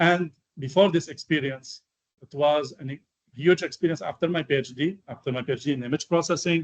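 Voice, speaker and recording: Speaking with an Arabic accent, a man with a fairly high pitch keeps a fairly even intonation but swings widely in loudness. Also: dry, close sound with no echo. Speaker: AI researcher, guest lecturer. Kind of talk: lecture. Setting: university lecture hall. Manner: halting, many fillers.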